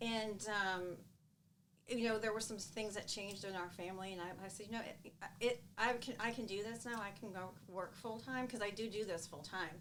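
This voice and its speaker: Audible room echo and noticeable background noise surround a woman with an American accent whose intonation stays fairly even. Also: medium pitch for a woman, moderate pace. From US Midwest, Chicago area. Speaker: real estate team owner. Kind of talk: podcast interview.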